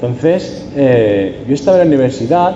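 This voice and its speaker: In an Andalusian accent, a man speaks at a fairly slow pace with very wide pitch swings, amid audible room echo and noticeable background noise. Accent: Huelva accent (when speaking English). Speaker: preacher. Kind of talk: sermon.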